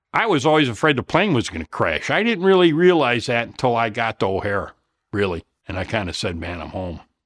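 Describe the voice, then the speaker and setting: Fairly quick speech from a man of medium pitch with very wide pitch swings, on a very clean recording with a silent background. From Chicago area, Illinois. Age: 60s. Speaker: Vietnam War veteran. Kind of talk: interview.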